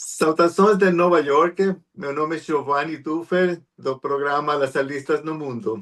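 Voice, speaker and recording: The speaker has a Spanish accent. The pace is fairly slow. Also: man, fairly high pitch for a man, ordinary pitch variation, hardly any pauses. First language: Spanish (speaking Portuguese). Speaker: interview show host. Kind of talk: interview.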